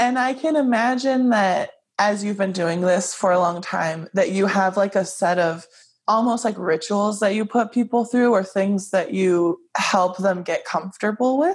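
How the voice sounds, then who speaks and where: Somewhat breathy, a woman at medium pitch speaks at a moderate pace with ordinary pitch variation and very even loudness. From Hawaii. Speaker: podcast host. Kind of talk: casual chat; scripted narration.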